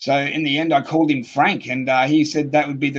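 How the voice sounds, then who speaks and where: A man's fairly high voice in an Australian accent, fairly quick, with monotone, flat intonation. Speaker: UFO experiencer. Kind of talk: interview.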